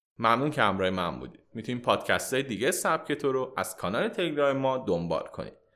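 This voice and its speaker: Very fast and with hardly any pauses, a man speaks at a medium pitch in a bright, sharp tone with vocal fry and very wide pitch swings. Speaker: podcast host. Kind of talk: scripted narration.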